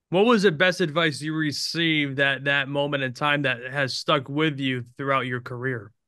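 A man with an American accent and a bright, sharp tone, ordinary pitch variation, hardly any pauses, and a quiet background. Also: fairly high pitch for a man, moderate pace. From Albany, New York. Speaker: podcast host. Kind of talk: interview. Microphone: video call.

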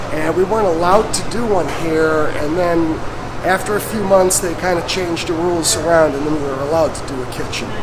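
There is noticeable noise in the background. The speaker talks at a fairly quick pace. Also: man. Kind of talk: casual tour talk. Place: factory. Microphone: phone near.

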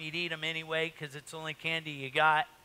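The tone is bright and sharp. It belongs to a man. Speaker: pastor. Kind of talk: sermon. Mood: jovial, joking. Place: church.

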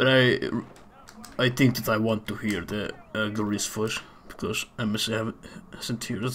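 A fairly slow, flat, monotone delivery with long, frequent pauses over noticeable background noise. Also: man, medium pitch for a man. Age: 30s. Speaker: video game speedrunner. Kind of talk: casual chat. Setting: live stream with voice chat.

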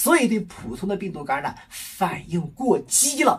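Delivered at a moderate pace, the speech has faint music in the background. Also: man. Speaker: physician explaining medical research. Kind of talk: health education talk. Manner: conversational with filler particles.

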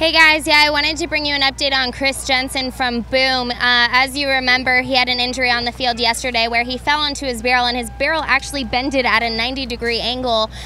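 A woman's high, upbeat, energetic voice at a very fast pace, dry with no echo, over music in the background. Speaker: sideline reporter. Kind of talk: sideline interview. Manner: upbeat, energetic interviewer. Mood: concerned, sympathetic. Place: stadium. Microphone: handheld.

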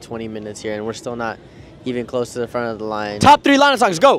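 A man at a very fast pace, the sound dry with no echo and light background noise. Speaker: vlogger. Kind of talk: casual vlog chat. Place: market. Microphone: lapel.

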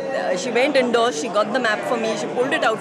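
A woman's voice sounds dry with no echo. Crowd noise can be heard behind her. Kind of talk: interview answer. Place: hall. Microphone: lapel.

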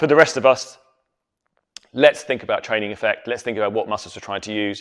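With a quiet background, a man's voice is heard speaking. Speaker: fitness coach. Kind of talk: tutorial. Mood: relaxed, lightly joking. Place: gym. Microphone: lapel.

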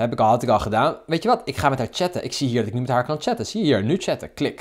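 Very fast and animated, a man's voice has very wide pitch swings and vocal fry on a very clean recording with a silent background. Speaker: dating coach vlogger. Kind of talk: angry rant. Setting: screen recording of app. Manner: indignant, sarcastic.

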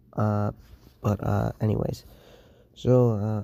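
This is a man speaking. His voice is quiet. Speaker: gaming youtuber. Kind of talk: casual vlog talk to viewers. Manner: quiet, hushed; hesitant, many fillers.

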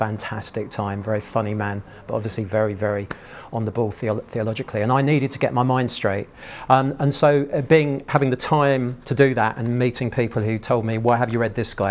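Talking at a fairly quick pace, a man with an English accent keeps his intonation fairly even. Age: 60s. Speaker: churchgoer sharing faith story; guest. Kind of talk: testimony. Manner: halting. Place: hall.

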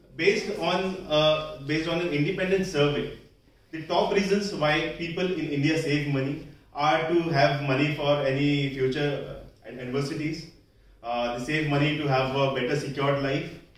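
There is audible room echo as a man talks at a moderate pace with fairly even intonation. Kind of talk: prepared public speech. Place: hall. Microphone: camera far.

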